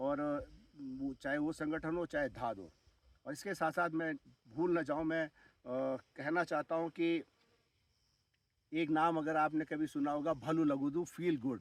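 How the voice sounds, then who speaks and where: A man speaks at a fairly high pitch, with long, frequent pauses. The sound is dry and close, with no echo. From Uttarakhand hills, India. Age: 60s. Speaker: retired army officer turned farmer. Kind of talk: vlog monologue. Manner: hesitant with fillers.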